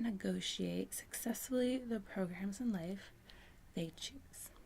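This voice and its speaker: Soft-spoken and whispering, a woman sounds somewhat breathy. She speaks at a fairly slow pace. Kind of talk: ASMR book reading. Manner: soft-spoken, whispering.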